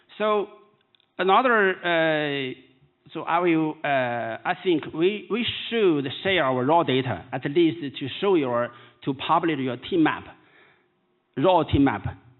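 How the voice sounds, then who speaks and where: Pausing long and often, a man with a Chinese accent speaks at a very slow pace, his fairly high pitch carrying lively intonation. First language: Mandarin Chinese. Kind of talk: keynote lecture. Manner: halting.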